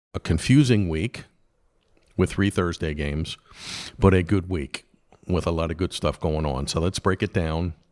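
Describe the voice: A man speaks in a put-on character voice, very deep, low and raspy, with ordinary pitch variation. His moderate pace is broken by long, frequent pauses, and the sound is dry and close with no echo.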